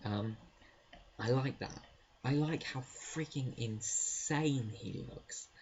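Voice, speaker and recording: A man whispering, quiet. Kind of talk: casual talk to camera. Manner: quiet, whispered.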